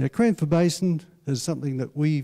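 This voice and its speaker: A man with a dark, mellow tone speaks at a moderate pace with ordinary pitch variation against a quiet background. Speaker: council presenter. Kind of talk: public talk presentation. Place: hall. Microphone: handheld.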